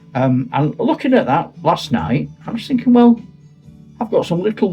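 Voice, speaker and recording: With music in the background, a man talks using very wide pitch swings. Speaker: retired teacher and wargamer. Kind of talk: casual talk to camera.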